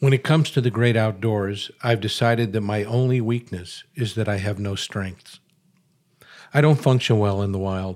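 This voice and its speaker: A man with an American accent and an ordinary speaking voice talks at a moderate pace and a fairly low pitch with fairly even intonation, in a very clean recording with a silent background. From Chicago. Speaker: columnist and author. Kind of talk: reading aloud from his book.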